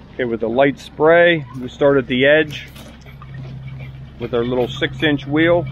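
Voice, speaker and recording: A man with an American accent talks at a fairly slow pace, leaving long, frequent pauses. Noticeable background noise is present. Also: fairly high pitch for a man, fairly even intonation. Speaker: concrete contractor. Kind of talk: on-site tutorial. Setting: outdoors on a construction site. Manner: casual, instructive.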